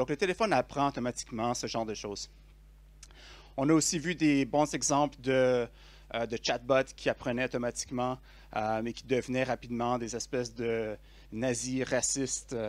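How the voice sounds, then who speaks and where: With a Quebec accent, a man speaks at a moderate pace and medium pitch, with fairly even intonation and long, frequent pauses, on a very clean recording with a silent background. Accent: Québécois French. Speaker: conference speaker, software developer. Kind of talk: tech conference talk. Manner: hesitant, many fillers.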